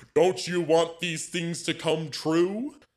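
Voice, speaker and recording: Put-on character voice from a man, fairly slow and pitched high. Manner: jolly.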